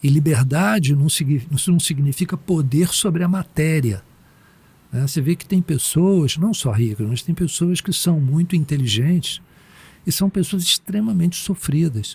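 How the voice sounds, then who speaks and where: A man with an ordinary speaking voice talks at a moderate pace, his fairly high pitch moving in a lively intonation. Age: 60s. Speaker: meditation teacher. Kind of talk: podcast interview. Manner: casual, slangy.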